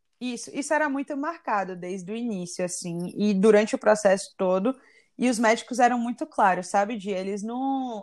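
A woman with an unremarkable speaking voice talks at a moderate pace in a fairly high pitch with ordinary pitch variation, in a very clean recording with a silent background. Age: 20s. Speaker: civil engineer, cancer survivor. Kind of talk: personal testimony in interview.

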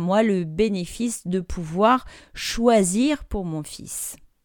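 The very clean recording, with its silent background, captures a woman speaking. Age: 30s. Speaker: life coach and podcast host. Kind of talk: casual solo podcast monologue.

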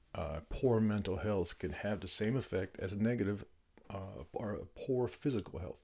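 A man speaks at a moderate pace in a fairly low, dark and mellow voice that is somewhat breathy, with ordinary pitch variation. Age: 40s. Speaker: podcast host and veteran author. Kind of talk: solo monologue podcast. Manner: hesitant with frequent fillers.

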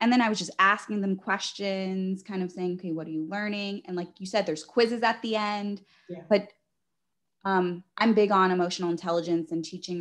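Over a quiet background, a woman in an ordinary speaking voice talks at a medium pitch and a fairly quick pace with fairly even intonation. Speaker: talk show host. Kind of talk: interview.

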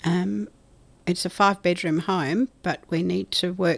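A woman with an Australian accent speaks at a fairly low pitch in a very clean recording with a silent background. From South Australia. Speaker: hospice charity chair. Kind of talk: interview. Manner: hesitant with fillers.

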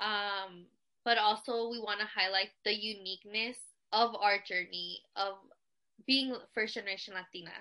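An unremarkable speaking voice with an American accent talks at a moderate pace with fairly even intonation. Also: woman, medium pitch for a woman. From California. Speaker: podcast co-host. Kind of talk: casual chat.

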